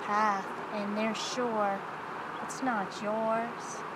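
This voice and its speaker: Over loud background noise, a woman speaks at a very slow pace in a dry sound with no echo. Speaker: ASMR creator. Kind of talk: ASMR soft-spoken reflective monologue. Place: waterside. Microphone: camera far.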